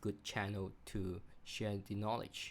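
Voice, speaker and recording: Speaking with a non-native accent, a man delivers his words at a fairly slow pace and a fairly low pitch. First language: not English. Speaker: cybersecurity executive and channel host. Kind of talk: channel intro monologue. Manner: halting, many fillers.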